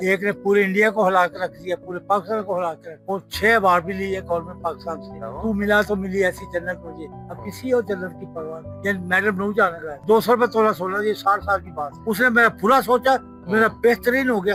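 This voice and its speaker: Against music in the background, a man with a high pitch and ordinary pitch variation uses a raised, projected voice, with big swings in loudness. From Pakistan. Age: 80s+. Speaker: poet and film lyricist. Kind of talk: interview answer.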